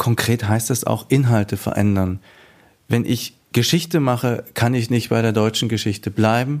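Here is a man with an ordinary speaking voice at medium pitch and a moderate pace. His pitch variation is ordinary and his loudness very even. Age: 40s. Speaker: small party politician, teacher. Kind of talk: political interview.

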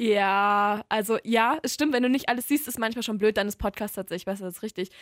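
Here a woman speaks with a fairly high pitch. The recording is very clean, dry and close, with no echo and a silent background. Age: 20s. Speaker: guest, gamer's girlfriend. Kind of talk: casual chat. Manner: animated.

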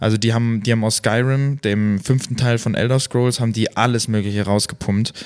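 The man's medium-pitched voice holds a fairly even intonation. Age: 20s. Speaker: podcast co-host, software developer. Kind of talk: casual chat.

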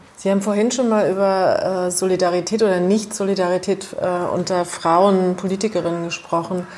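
Amid noticeable background noise, a woman speaks at a medium pitch and a fairly quick pace with hardly any pauses. Her intonation is monotone and flat, and her loudness stays very even. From East Germany. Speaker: journalist. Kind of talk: interview.

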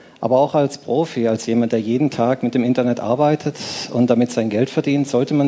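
Noticeable background noise runs under the speech. The pace is moderate and the intonation fairly even. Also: man. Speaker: conference speaker. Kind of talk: lecture. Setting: stage with audience.

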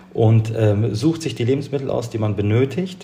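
A man talks at a moderate pace and medium pitch with ordinary pitch variation, with audible room echo and noticeable background noise. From Bielefeld, Germany. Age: 30s. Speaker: food-rescue nonprofit founder. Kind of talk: interview. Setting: remote recording. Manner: hesitant, many fillers.

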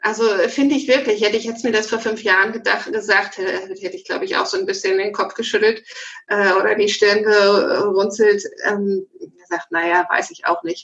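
An ordinary speaking voice from a woman, fairly high in pitch, at a moderate pace with ordinary pitch variation. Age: 40s. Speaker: online magazine founder. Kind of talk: interview.

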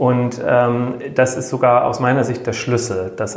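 Medium-pitched male speech with noticeable background noise and audible room echo. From rural Germany. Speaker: social worker. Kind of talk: interview.

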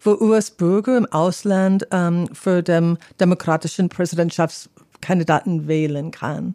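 A woman speaks at a fairly slow pace. The recording is very clean and dry, close with no echo, over a silent background. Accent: English. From US, California. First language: English (speaking German). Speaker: political organization representative. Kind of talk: interview. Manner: halting.

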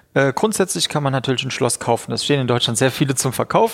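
Lively intonation from a man at medium pitch, with vocal fry. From Rhineland-Palatinate, Germany (Neuwied area). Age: 30s. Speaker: wedding venue owner and entrepreneur. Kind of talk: interview.

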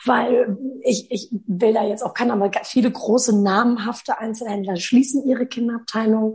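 A woman with a fairly high pitch talks at a moderate pace in a monotone, flat intonation over noticeable background noise. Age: 30s. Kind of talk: interview.

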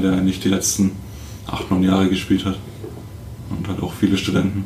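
At a fairly quick pace, a man talks in a very deep, low voice, with audible room echo and noticeable background noise. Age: 20s. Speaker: amateur basketball player. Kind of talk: casual chat.

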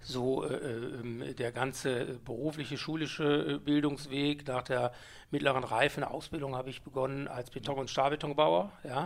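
This man has an unremarkable speaking voice at a medium pitch. He speaks at a fairly slow pace with fairly even intonation. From Ruhr area, Germany (Mülheim an der Ruhr). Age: 50s. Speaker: DJ and event organizer. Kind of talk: interview.

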